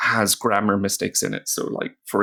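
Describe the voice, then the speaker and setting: In a very clean recording with a silent background, a man with a Northern Irish accent talks at a moderate pace. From Northern Ireland. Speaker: language teacher. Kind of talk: tutorial. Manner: casual, with many fillers.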